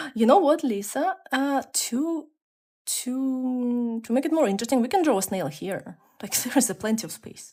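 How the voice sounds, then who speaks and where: A woman's high-pitched voice with a dark, mellow tone, lively intonation and a moderate pace. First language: not English. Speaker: art streamer. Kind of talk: casual chat. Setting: live stream. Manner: sounds stern or angry in tone.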